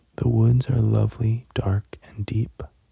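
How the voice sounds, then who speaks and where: This soft-spoken voice has a calm tone and moves at a very slow pace. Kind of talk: poetry reading, slow and soothing. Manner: soft-spoken, calm.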